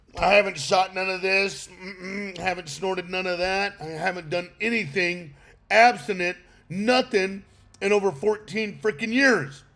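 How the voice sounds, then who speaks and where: A loud man, high pitch, ordinary pitch variation. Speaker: recovery podcast host. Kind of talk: livestream talk on sobriety. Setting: outdoors on an island.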